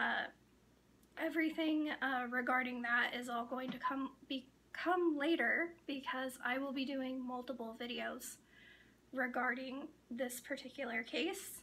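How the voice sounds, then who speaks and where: A raised, projected woman's voice, high-pitched with a bright, sharp tone, fairly even intonation and a fairly slow pace. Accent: American. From northern Idaho, Coeur d'Alene Reservation. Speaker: true crime youtuber. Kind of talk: casual monologue to camera. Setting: talking to a camera. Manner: halting, many pauses.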